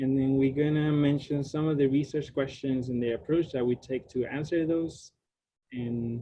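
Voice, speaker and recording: Speaking with a Spanish accent, a man talks at a moderate pace in a medium pitch. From Puerto Rico. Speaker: graduate student researcher. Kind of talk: lecture. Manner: casual, with many fillers.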